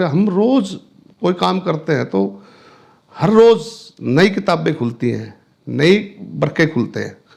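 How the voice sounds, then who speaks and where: A man's voice with very wide pitch swings. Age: 60s. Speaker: businessman. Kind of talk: interview. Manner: halting.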